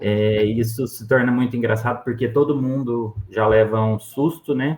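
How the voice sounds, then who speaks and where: A man with an unremarkable speaking voice, medium in pitch, fairly even in intonation, at a fairly slow pace. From Brazil, interior of Minas Gerais. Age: 20s. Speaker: endodontist. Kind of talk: interview.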